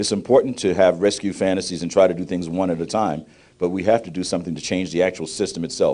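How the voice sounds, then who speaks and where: A man at a very fast pace, very deep and low in pitch, with a dark, mellow tone, fairly even intonation and a quiet background. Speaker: professor. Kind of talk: speech.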